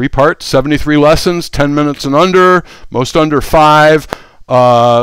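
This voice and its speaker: With a normal speaking voice, a man of fairly high pitch speaks at a moderate pace, his loudness very even and his intonation fairly even. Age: 60s. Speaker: tech educator. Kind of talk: sales pitch. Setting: live stream. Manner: casual, with frequent fillers and restarts.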